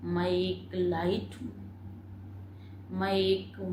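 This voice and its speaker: A woman's somewhat breathy voice has a calm, soothing tone and fairly even intonation. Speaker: meditation guide. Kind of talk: guided meditation commentary.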